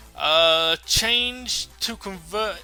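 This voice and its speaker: With music playing behind him, a man speaks in a fairly high voice whose pitch swings very widely. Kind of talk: news-style commentary to camera about game patch notes. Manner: casual, thinking aloud, with filler words.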